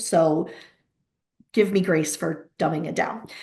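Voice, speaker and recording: This voice belongs to a woman. It is somewhat breathy. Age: 50s. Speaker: pediatric therapy practice owner, webinar host. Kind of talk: webinar presentation. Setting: video call webinar. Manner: fast; animated.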